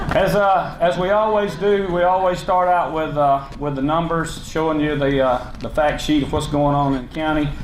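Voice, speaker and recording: Noticeable background noise and audible room echo surround a man speaking at a moderate pace with hardly any pauses. His pitch is fairly high, with ordinary variation. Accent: Southern US. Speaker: county commission chairman. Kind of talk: public speech. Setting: luncheon hall with audience. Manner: loud; unscripted, halting with fillers.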